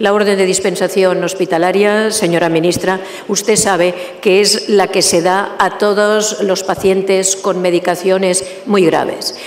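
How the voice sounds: The speech moves at a fairly slow pace with few pauses and fairly even intonation. Clear background noise is heard. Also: woman, medium pitch for a woman.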